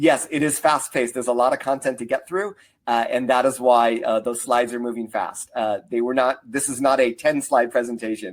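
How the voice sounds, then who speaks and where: In a normal speaking voice, a man of medium pitch talks at a fairly quick pace with fairly even intonation and hardly any pauses. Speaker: marketing consultant and speaker. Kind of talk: webinar presentation. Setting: online webinar.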